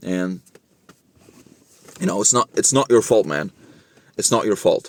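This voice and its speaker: The sound is dry and close with no echo as a man talks at a fairly slow pace. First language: not English; English is his third language. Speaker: fitness and self-improvement vlogger. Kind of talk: casual monologue to camera. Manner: halting, many false starts.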